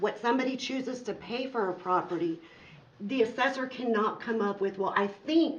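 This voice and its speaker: Audible room echo carries a woman's fairly high voice. She keeps a moderate pace with ordinary pitch variation. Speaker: farmer. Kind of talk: public comment at council meeting.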